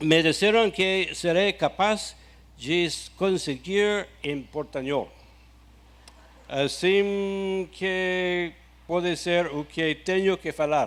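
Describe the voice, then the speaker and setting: In an English accent, a man speaks very slowly with a high pitch. His intonation stays fairly even on a very clean recording with a silent background. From USA. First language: English (speaking Portuguese). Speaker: ministry founder. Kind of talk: testimony. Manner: halting.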